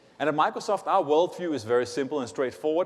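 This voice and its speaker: A man's lively intonation in a Danish accent. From Denmark. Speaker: tech company executive. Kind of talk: conference keynote.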